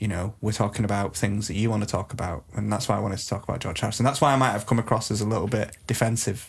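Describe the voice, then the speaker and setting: A man talks at a very fast pace in a fairly low, somewhat breathy voice with fairly even intonation. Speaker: podcast host. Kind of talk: comedic mock documentary chat.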